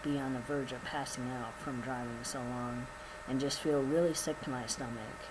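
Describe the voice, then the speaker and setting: The speech moves at a moderate speed while background noise remains noticeable. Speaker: vlogger. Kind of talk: casual vlog update. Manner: casual, filler-heavy.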